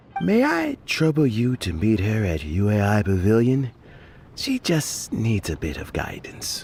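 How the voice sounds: A man's put-on character voice, fairly low and slightly mellow, with vocal fry, a fairly slow pace and very wide pitch swings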